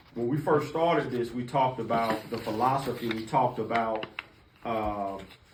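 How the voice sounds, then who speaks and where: The room gives off an audible echo, with noticeable noise in the background. The intonation stays fairly even. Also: man, medium pitch for a man. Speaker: city housing department official presenting to commissioners. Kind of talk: briefing presentation to officials. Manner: fast.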